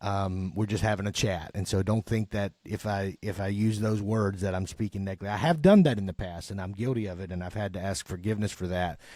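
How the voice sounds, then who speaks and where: With an American accent, a man talks at a very fast pace with hardly any pauses, in a dark, mellow tone at a fairly low pitch and with fairly even intonation. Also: very clean recording, silent background. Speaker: podcast host and chaplain. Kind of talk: casual chat.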